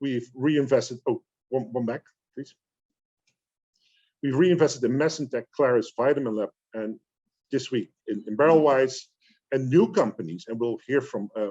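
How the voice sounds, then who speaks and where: A man's medium-pitched voice, dark and mellow in tone, with ordinary pitch variation and a dry, close sound free of echo. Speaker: investment fund manager. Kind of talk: business presentation. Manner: fast; halting.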